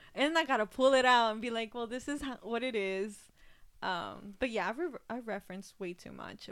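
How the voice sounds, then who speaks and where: A woman with a normal speaking voice talks at a moderate pace, her pitch fairly high with ordinary variation, on a very clean recording with a silent background. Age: 20s. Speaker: podcast co-host. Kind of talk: casual chat.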